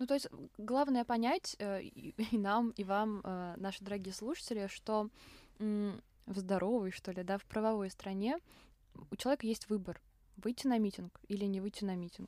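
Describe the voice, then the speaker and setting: Her tone is dark and mellow, set at a medium pitch for a woman. She keeps a moderate pace but leaves long, frequent pauses. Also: ordinary pitch variation. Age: young. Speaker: podcast host, journalism student. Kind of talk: casual chat.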